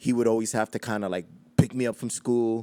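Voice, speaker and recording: A man with a New York accent speaks at a medium pitch in a dark, mellow tone. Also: dry, close sound with no echo. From Queens, New York City. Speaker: hip hop DJ. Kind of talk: interview storytelling.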